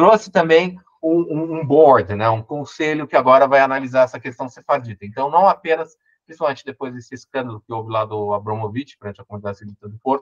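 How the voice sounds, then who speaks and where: Talking at a very fast pace, a man with a medium pitch uses lively intonation and big swings in loudness, in a dry, close sound with no echo. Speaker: lawyer and law professor. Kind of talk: online lecture. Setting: online event.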